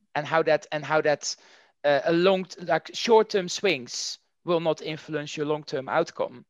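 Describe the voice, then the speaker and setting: A man with a Dutch accent, fairly high pitch, fairly slow pace, and fairly even intonation, on a very clean recording with a silent background. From Netherlands. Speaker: marketing executive. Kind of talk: interview.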